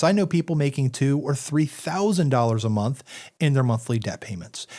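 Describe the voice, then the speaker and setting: On a very clean recording with a silent background, a man with an ordinary speaking voice talks at a fairly quick pace. His pitch is fairly high and his intonation lively. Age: 40s. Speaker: financial advisor. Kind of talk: casual chat.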